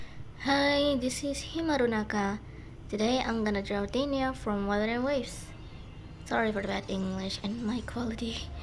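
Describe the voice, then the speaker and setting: A woman speaks at a moderate pace with a fairly high pitch. Room echo is audible around her voice. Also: ordinary pitch variation. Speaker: digital artist. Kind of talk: speed paint voiceover. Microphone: poor mic.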